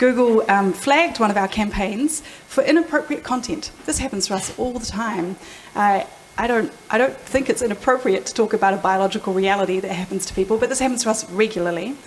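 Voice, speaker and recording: A woman with a New Zealand accent speaks at a fairly quick pace and a fairly high pitch with lively intonation, against noticeable background noise. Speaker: product executive. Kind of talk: panel discussion. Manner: fast.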